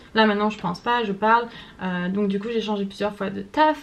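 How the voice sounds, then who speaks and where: A woman's fairly high-pitched voice, fairly quick pace, fairly even intonation. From France. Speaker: vlogger. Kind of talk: casual vlog monologue. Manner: hesitant, many fillers.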